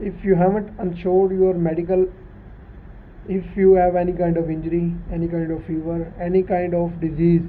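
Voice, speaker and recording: The pace here is moderate. A non-native accent colors the speech. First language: not English. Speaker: YouTube channel host. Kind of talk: casual explanatory chat. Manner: halting.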